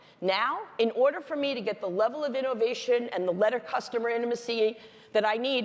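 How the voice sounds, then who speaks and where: A woman with a fairly high pitch talks at a fairly quick pace, her pitch varying in an ordinary way. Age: 60s. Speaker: business executive giving a keynote talk. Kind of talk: conference talk. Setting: stage with audience. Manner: animated.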